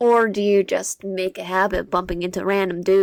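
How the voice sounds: The voice reads in a natural way, keeping its intonation fairly even.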